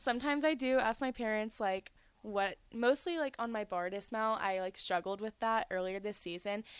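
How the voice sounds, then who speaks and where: In a very clean recording with a silent background, a woman uses a normal speaking voice at fairly high pitch and moderate pace. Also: ordinary pitch variation. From North Carolina (born in Georgia). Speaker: college gymnast. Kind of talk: casual chat.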